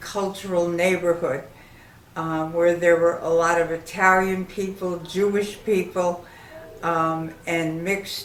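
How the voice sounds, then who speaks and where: With audible room echo, a woman speaks at a fairly low pitch and a fairly slow pace in a monotone with flat intonation. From Connecticut, Hartford. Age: 70s. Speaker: elderly woman telling her life story. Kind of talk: life story monologue. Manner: halting, with frequent fillers.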